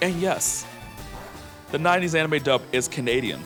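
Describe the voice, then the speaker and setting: Music plays in the background while a man talks. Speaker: vtuber. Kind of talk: casual gameplay commentary. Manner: calming.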